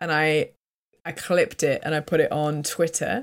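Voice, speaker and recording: A woman speaks with a British accent. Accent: British English, clear. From UK. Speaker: voice actress. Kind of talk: casual interview. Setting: video call.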